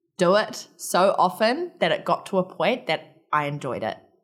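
A woman with a New Zealand accent, on a very clean recording with a silent background. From New Zealand, Palmerston North. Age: 20s. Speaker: army military police instructor. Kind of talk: interview.

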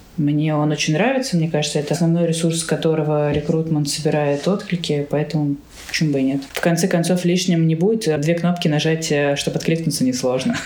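Over noticeable background noise, a woman with a very deep, low pitch talks fairly quickly, with ordinary pitch variation and very even loudness. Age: 20s. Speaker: HR consultant. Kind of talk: interview.

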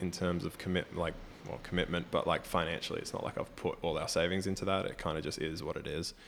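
In an Australian accent, a man speaks at a very deep, low pitch with monotone, flat intonation. The recording is very clean with a silent background. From Australia, Brisbane. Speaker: professional basketball player. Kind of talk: casual interview chat. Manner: many filler ums.

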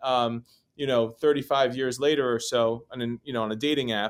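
With an American accent, a man has an unremarkable speaking voice, medium in pitch with ordinary pitch variation, and talks at a fairly quick pace. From New York City. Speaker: real estate broker. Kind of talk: interview.

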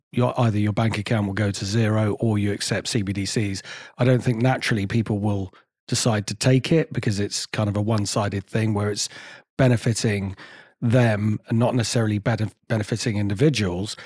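Against a quiet background, a man with an ordinary speaking voice talks at a fairly quick pace and a fairly low pitch, his intonation fairly even. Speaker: podcast host. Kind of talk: interview.

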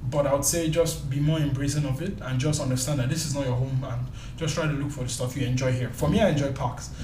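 Very fast speech from a man, with noticeable background noise and audible room echo. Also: fairly high pitch for a man. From Nigeria. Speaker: tech YouTuber. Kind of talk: casual chat. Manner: animated.

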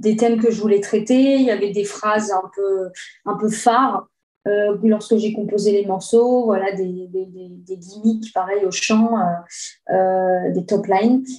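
At a very slow pace, a woman with medium pitch speaks with fairly even intonation. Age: 30s. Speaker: guitarist and singer. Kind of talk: casual interview.

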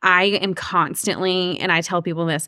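This is a woman's voice. She speaks with a Georgia accent. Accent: US Southern (Georgia). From Georgia, Cherokee County. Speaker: realtor. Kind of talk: interview conversation.

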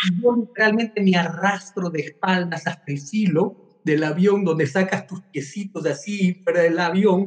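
Amid noticeable background noise, a man speaks in a high pitch with an animated tone and ordinary pitch variation. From Ecuador. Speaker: life coach. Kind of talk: interview.

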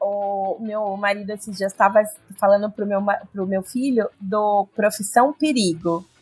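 Somewhat breathy speech comes at a fairly slow pace with fairly even intonation, recorded dry and close with no echo. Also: woman, medium pitch for a woman. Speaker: podcast co-host. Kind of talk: casual chat.

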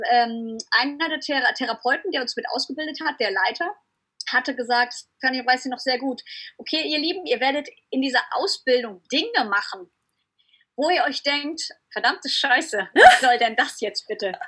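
Intonation is lively while the pace holds moderate. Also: woman. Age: 30s. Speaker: surf blogger and entrepreneur. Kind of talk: interview. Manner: animated.

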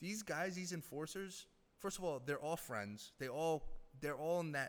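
At a fairly slow pace, a man talks in a normal speaking voice with lively intonation. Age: 30s. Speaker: former hockey team executive. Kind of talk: casual chat.

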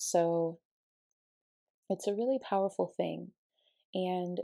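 A woman talks very slowly with an American accent. The recording is very clean with a silent background, and the sound is dry and close with no echo. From Colorado. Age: 20s. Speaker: podcast host, wellness coach. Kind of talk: personal storytelling monologue.

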